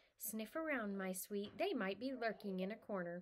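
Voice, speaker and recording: In a put-on character voice, a female-sounding speaker talks at a moderate pace and medium pitch. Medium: read story.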